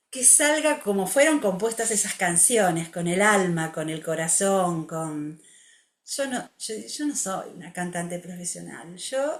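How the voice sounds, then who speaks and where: Her pitch swings very widely as the woman speaks at a very slow pace. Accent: Rioplatense. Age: 60s. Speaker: music therapist. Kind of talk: interview.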